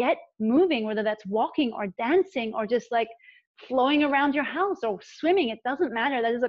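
A woman speaks at a fairly quick pace in a high pitch. The sound is dry with no echo against a quiet background. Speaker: relationship and embodiment coach; podcast guest, coach. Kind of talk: casual interview. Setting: video call. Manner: animated. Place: home room. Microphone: video call.

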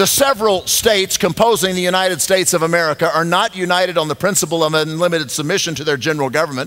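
Over music in the background, a man talks at a very fast pace in a high voice with ordinary pitch variation. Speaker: pastor speaking at event. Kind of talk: sermon. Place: church.

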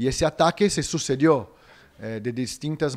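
At a fairly slow pace, a man speaks with a Brazilian accent. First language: Portuguese (speaking Spanish). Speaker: media activist; interviewee. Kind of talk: interview statement. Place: hall. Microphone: handheld.

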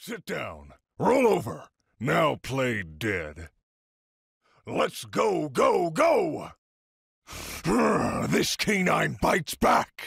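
A man uses a put-on character voice at a very slow pace. Long, frequent pauses break up his speech. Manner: commanding, barking orders.

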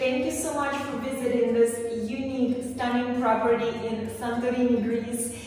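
A woman talks at a fairly slow pace in a high pitch, her intonation monotone and flat. Strong room echo surrounds her voice. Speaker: travel vlogger. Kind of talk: casual vlog chat. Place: bathroom. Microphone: camera far.

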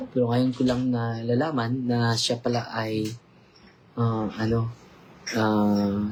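Over noticeable background noise, a man talks at a very slow pace in a monotone, flat intonation at medium pitch. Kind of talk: casual livestream interview.

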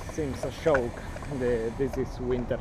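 Amid loud background noise, a man speaks at a very slow pace in a dry sound with no echo. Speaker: travel vlogger. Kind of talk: casual vlog chat. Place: street. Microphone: phone near.

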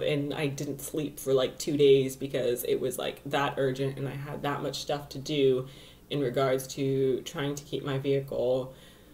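Here a woman is speaking. Her pitch is very deep and low. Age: 20s. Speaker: astrologer and vlogger. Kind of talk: casual vlog monologue. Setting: home video recording. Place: home room. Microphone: webcam.

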